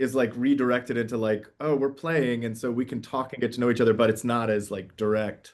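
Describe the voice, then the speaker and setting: A man at a medium pitch, talking at a very fast pace. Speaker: playwright. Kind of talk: interview. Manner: loud; animated.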